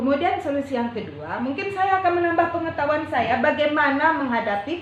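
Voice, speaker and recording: A woman talks at a moderate pace while noticeable background noise and audible room echo fill the recording. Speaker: primary school teacher. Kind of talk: coaching conversation.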